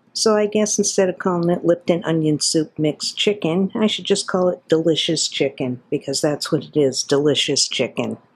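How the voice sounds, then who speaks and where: In an unremarkable speaking voice, a woman with a fairly low pitch talks at a moderate pace with ordinary pitch variation. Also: quiet background. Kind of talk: cooking tutorial. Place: kitchen. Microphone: phone near.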